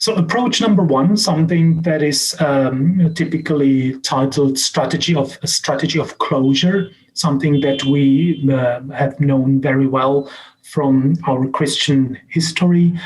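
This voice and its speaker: A man with a Czech accent talks at a fairly slow pace with hardly any pauses, his fairly high, somewhat breathy voice showing ordinary pitch variation and very even loudness. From Czech Republic. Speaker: professor and social scientist. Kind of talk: lecture. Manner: halting, many fillers and restarts.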